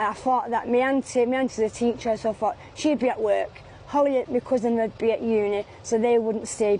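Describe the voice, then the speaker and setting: A woman with a Mancunian accent talks at a fairly high pitch. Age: 40s. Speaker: street sex worker. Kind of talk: street interview. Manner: halting.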